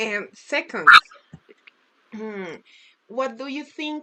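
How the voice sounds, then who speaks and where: A woman speaks with a Spanish accent at a very slow pace. Her intonation is lively. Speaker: music student. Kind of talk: interview. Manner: halting.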